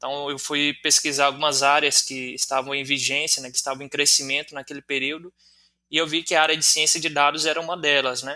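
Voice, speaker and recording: This man talks at a fairly quick pace in a fairly high pitch with a bright, sharp tone. His intonation is monotone and flat. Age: 20s. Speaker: teacher and online student. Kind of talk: interview answers.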